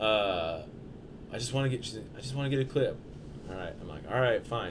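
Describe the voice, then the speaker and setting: Lively intonation comes through in an American accent, with audible room echo. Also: man. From Portland, Oregon. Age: 30s. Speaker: skateboarder and videographer. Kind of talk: casual chat. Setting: studio.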